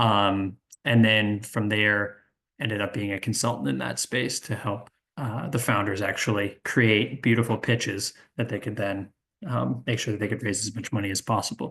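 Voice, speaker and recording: Bright, sharp tone from a man at a fairly low pitch, with ordinary pitch variation and a moderate pace over a quiet background. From New England. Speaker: sales and pitch consultant. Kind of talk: virtual workshop presentation. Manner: halting, many fillers.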